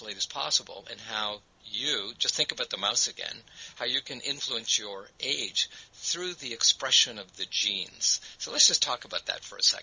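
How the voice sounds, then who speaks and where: A man at a moderate pace, amid noticeable background noise. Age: 60s. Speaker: network marketing presenter. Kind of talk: sales pitch. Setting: webinar.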